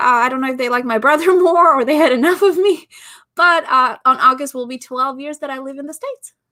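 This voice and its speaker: Raising and projecting her voice, a woman speaks at a fairly quick pace with a bright, sharp tone. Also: big swings in loudness. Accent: Albanian. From Albania. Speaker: podcast host and business founder. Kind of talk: interview conversation. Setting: live stream.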